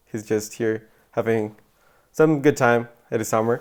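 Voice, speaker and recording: In a Spanish accent, a man with a dark, mellow tone talks at a fairly slow pace with ordinary pitch variation. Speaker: podcast host. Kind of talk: casual podcast chat. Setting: at a boarding school in England.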